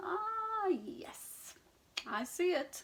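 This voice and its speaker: Extremely high pitch in a put-on character voice. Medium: read story. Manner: snorting, whinnying.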